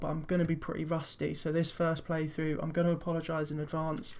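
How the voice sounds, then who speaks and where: A man with a British accent talks at a very fast pace. His voice is fairly high and monotone, with flat intonation. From Britain. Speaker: video game streamer. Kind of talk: let's play commentary. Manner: casual.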